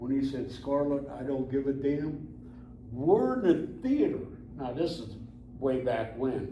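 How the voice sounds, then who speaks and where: Amid noticeable background noise and audible room echo, a man with a fairly high pitch and fairly even intonation speaks at a fairly slow pace, leaving long, frequent pauses. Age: 80s+. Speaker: military veteran. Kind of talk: interview. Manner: casual, folksy.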